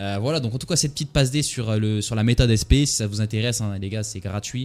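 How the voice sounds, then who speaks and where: A man talks at a very fast pace. His voice sits at a medium pitch with ordinary pitch variation. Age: 20s. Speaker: trader and entrepreneur vlogger. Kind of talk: casual monologue to camera. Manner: hesitant, many fillers.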